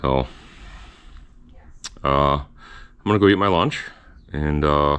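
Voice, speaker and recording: A man at a moderate pace. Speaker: car restoration youtuber. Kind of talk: workshop video log.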